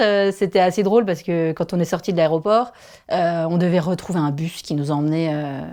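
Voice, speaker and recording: Someone talks at a fairly quick pace in a strong Vosges accent. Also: woman. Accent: strong regional Vosges. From Vosges, eastern France. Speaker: primary school teacher. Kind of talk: casual podcast interview.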